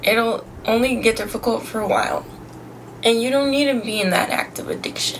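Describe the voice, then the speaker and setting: A woman speaks at a fairly quick pace with a fairly high pitch. Noticeable background noise runs underneath. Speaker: sobriety vlogger. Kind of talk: casual vlog monologue. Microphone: poor audio quality.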